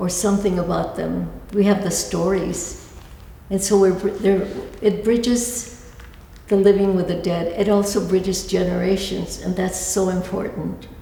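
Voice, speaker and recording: Against noticeable background noise and audible room echo, a woman speaks at medium pitch and a moderate pace in a monotone, flat intonation. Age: 80s+. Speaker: altar artist and educator. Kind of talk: lecture. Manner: halting, many restarts.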